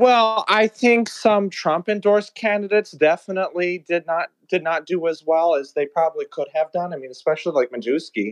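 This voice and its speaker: With an American accent and a high pitch for a man, he talks at a fairly quick pace with lively intonation and hardly any pauses, in a dry, close sound with no echo against a quiet background. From Texas. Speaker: caller. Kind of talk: call-in political discussion.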